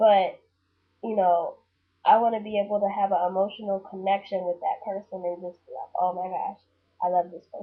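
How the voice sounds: Her voice has a medium pitch and a slightly husky edge. The woman moves at a moderate pace with little pitch movement.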